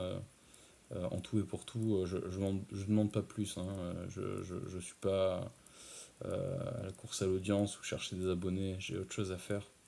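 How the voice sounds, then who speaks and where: Soft-spoken and fairly slow, this voice has a dark, mellow tone and fairly even intonation. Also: man. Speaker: ASMR creator. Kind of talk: casual talk to camera. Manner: hesitant, many filler sounds.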